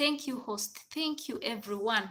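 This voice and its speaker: A woman's raised, projected voice with a Ugandan accent, high in pitch, bright and sharp in tone, with lively intonation. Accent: Ugandan accent noted. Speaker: domestic worker and livestreamer. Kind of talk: casual live stream chat. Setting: live stream.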